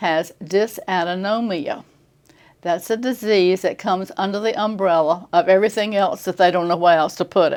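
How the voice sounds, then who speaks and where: Over a quiet background, a woman with an American accent speaks at a medium pitch. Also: fairly even intonation. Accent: Virginia accent with local island drawl. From Tidewater Virginia, Poquoson. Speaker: retirement community resident. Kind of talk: casual interview.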